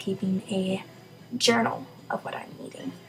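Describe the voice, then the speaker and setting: A woman talks fairly slowly while noticeable background noise is heard. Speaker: college student. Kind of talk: casual talk to camera.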